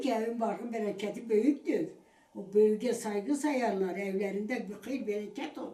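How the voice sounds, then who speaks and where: A woman's fairly high voice with an Eastern Anatolian accent, at a moderate pace with ordinary pitch variation. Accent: Eastern Anatolian Turkish dialect. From Eastern Anatolia, Turkey. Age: 80s+. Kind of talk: interview answer.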